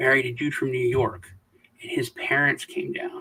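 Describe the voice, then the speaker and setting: The recording is dry and close, without any echo. It features a man with an American accent. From US South. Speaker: crypto video host. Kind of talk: casual chat. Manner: halting, with restarts.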